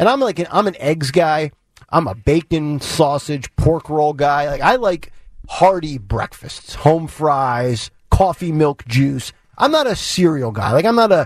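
A man speaks at a fairly slow pace with a fairly high pitch. His tone is animated, with lively intonation. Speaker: radio host. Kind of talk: talk radio show. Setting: studio.

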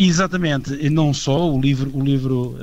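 The speaker is a man with a dark, mellow tone. His pitch sits in the medium range. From Portugal. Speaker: heritage association vice-president. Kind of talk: radio interview.

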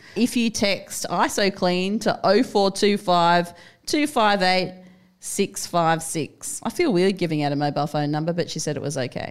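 On a very clean recording with a silent background, someone speaks in an Australian accent at a fairly slow pace. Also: woman, medium pitch for a woman. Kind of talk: casual chat.

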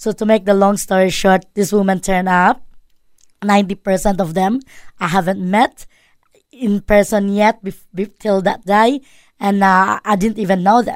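Speaking at a moderate pace with a Filipino accent, the voice keeps a fairly even intonation. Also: woman, medium pitch for a woman. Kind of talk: radio interview. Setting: studio. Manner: halting, many fillers and self-corrections.

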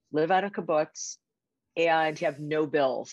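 Against a quiet background, a woman speaks with a strong Chicago accent. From Chicago area (Skokie, Illinois). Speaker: magazine publisher and editor. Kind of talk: casual interview.

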